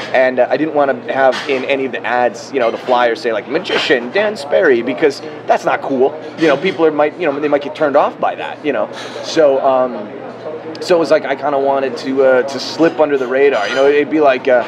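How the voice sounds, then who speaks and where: Noticeable background noise sits behind a man with an American accent. He speaks at a fairly high pitch and a fairly quick pace, with ordinary pitch variation. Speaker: magician. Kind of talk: interview. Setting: live in person in Las Vegas.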